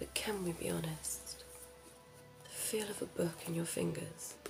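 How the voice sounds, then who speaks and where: A woman whispers over music in the background. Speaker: ASMR creator doing a librarian roleplay. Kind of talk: ASMR roleplay, librarian talking to the listener about books. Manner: whispered, soft, slow.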